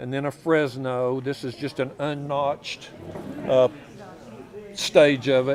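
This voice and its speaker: A man speaks very slowly with a West Texas accent, his pitch fairly high and his intonation fairly even. Long pauses come often. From Texas Panhandle (Borger). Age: 70s. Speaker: flint knapper and artifact collector. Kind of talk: casual interview. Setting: public fair in a museum.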